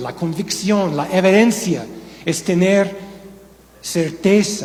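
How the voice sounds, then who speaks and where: Amid noticeable background noise and audible room echo, a man with an American accent speaks at a very slow pace. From United States. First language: English (speaking Spanish). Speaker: pastor. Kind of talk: sermon. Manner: halting.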